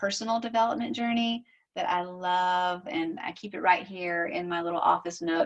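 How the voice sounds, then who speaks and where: A woman talks in a Southern US accent at a medium pitch. Her pace is moderate, and the background is quiet. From US South. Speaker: social media marketing strategist. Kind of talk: recorded recommendation. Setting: home office.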